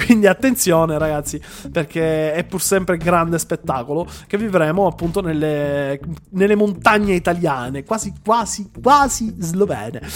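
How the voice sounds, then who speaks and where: An animated tone at a moderate pace amid noticeable background noise. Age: 20s. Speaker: motorsport podcast host. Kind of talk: live podcast chat.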